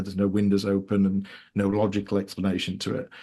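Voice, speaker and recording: This man talks in a Yorkshire accent, his fairly low voice flat and monotone. The background is quiet. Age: 30s. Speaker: author. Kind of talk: interview. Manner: halting.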